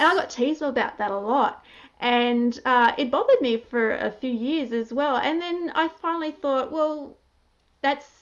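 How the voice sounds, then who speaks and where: At a moderate pace, a woman speaks at a high pitch with ordinary pitch variation. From country Australia. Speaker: interviewer, blogger. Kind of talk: interview.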